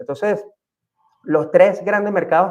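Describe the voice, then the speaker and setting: A man speaks at a moderate pace with a Venezuelan accent. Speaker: real estate agent. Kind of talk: panel talk. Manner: halting, many fillers.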